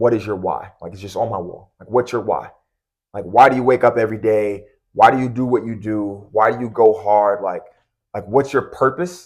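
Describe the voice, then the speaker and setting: A man with a plain, everyday voice and an American accent speaks at a medium pitch with ordinary pitch variation and big swings in loudness, in a very clean recording with a silent background. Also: moderate pace. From US Northeast, Long Island. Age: 30s. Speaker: college basketball coach. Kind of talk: podcast interview. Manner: casual, many fillers.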